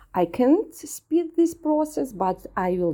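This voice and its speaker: A woman with a non-native accent speaks at a very slow pace. Her dark, mellow tone swings very widely in pitch. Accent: foreign-accented English. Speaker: ESOL learner. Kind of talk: reading prepared statements. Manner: halting, hesitant.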